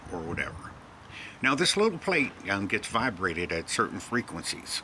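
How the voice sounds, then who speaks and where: Amid noticeable background noise, a man talks with lively intonation. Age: old. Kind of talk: casual talk to camera. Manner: rambling, hesitant.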